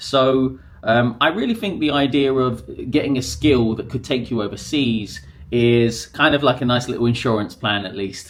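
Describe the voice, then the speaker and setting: A man with a southern English accent, medium pitch and ordinary pitch variation. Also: moderate pace. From southern England, near Brighton. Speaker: English teacher, podcaster. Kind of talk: casual monologue to camera. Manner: conversational, with fillers.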